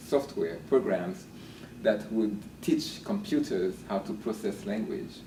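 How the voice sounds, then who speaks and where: Speaking at a fairly slow pace, a man talks with a Haitian accent. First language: Haitian Creole. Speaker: linguistics professor. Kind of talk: interview. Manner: hesitant with fillers and repeats.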